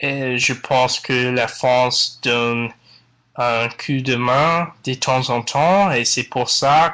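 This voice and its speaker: Speaking very slowly with an English accent, a man has a bright, sharp tone at a medium pitch. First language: English (speaking French). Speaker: podcast listener, French learner. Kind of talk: recorded listener testimony.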